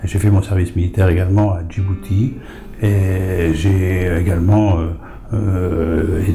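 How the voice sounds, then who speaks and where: Over noticeable background noise, a man talks in a very deep, low pitch with ordinary pitch variation. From France, Lorraine (Lunéville area). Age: 70s. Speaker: author and retired farmer. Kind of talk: interview. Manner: hesitant, many fillers.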